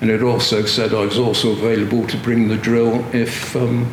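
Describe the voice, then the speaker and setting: A man's medium-pitched voice with a West Country accent at a moderate pace, with noticeable background noise and audible room echo. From Gloucester, western England. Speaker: retired police officer. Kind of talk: interview. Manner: halting.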